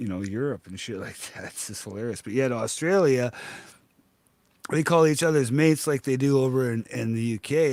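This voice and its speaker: A man's ordinary speaking voice, medium in pitch, with a Canadian accent, lively intonation and a moderate pace. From western Canada. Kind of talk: casual chat.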